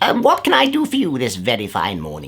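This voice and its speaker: Using a put-on character voice, the speaker moves along at a fairly quick pace. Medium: read story.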